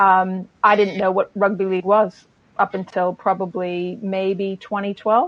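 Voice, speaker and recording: The speaker has an American accent and a fairly slow pace. The intonation is monotone and flat. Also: woman, medium pitch for a woman. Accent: American, largely unchanged. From United States. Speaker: sports marketing lecturer. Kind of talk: panel discussion.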